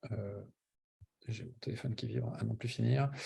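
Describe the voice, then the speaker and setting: A man's voice, somewhat breathy, carries a dark, mellow tone. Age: 50s. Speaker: pilot recruitment coach. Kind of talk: webinar presentation. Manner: hesitant, many fillers.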